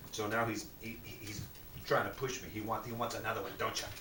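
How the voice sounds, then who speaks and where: Noticeable background noise and audible room echo accompany a man's voice. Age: 60s. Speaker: vlogger promoting a supplement. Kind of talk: casual home video sales pitch. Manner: casual, chatty.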